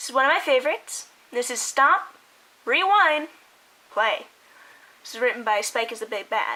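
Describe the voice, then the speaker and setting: This woman speaks in a raised, projected voice with a high pitch, a bright, sharp tone and very wide pitch swings. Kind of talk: casual talk to camera.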